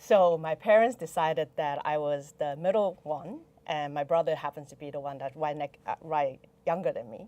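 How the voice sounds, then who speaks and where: A woman with a Chinese accent speaks at a moderate pace, her pitch fairly low and her tone dark and mellow. The sound is dry and close, with no echo. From Taiwan. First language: Mandarin Chinese. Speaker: venture investor. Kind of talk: podcast interview.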